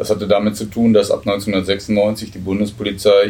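A man's fairly low, somewhat breathy voice, dark and mellow in tone, monotone and flat, at a moderate pace. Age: 50s. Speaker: federal police officer and union official. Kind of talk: interview. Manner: hesitant, many filler sounds.

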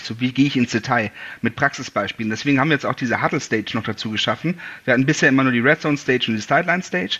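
This man's voice sits at a medium pitch with a bright, sharp tone. His pitch varies in an ordinary way. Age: 30s. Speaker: american football event organizer. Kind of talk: interview. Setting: video call.

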